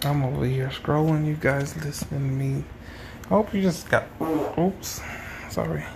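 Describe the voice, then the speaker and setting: A man speaks at a moderate pace with fairly high pitch and ordinary pitch variation. Long, frequent pauses break up his speech over noticeable background noise. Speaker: podcaster vlogging about his life. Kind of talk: casual solo monologue, diary-style. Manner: casual, rambling, stream-of-consciousness.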